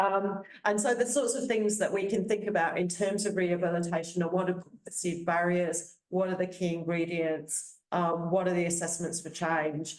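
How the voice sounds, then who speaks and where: Audible room echo surrounds a woman speaking at a moderate pace with a fairly low pitch and fairly even intonation. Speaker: professor. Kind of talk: conference presentation. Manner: halting, many repetitions.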